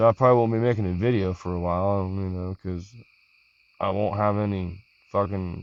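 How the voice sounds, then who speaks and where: With fairly even intonation, a man speaks at a moderate pace in a fairly low voice. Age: 40s. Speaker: vlogger. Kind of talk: personal vlog monologue. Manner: casual, halting.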